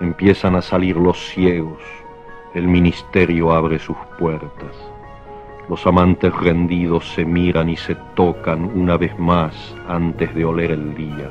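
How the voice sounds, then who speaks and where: A man's very deep, low voice at a very slow pace, with ordinary pitch variation and music in the background. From Argentina. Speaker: writer, poet. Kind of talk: poetry reading. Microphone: old recording.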